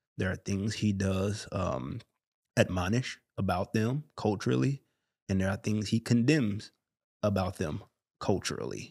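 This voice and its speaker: A man's fairly low voice at a fairly slow pace, lively in intonation, on a very clean recording, silent background. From Chicago, west side. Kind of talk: casual faith discussion.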